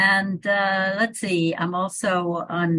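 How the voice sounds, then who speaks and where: A woman speaks with a Northeastern US accent. Her pitch is fairly low. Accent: American Northeast. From US Northeast, Hudson Valley New York. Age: 80s+. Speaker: evolution biologist and author. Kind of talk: interview conversation.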